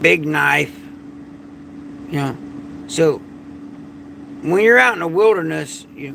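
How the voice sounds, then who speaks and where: Over noticeable background noise, a man with a Southern US accent speaks at a moderate pace. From Florida. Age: 50s. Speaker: prepper and survival channel host. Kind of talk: late-night livestream monologue. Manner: casual, repetitive.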